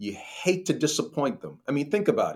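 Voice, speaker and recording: The voice belongs to a man with a fairly high pitch. Vocal fry comes through as he talks. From New York. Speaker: financial advisor. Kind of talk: interview.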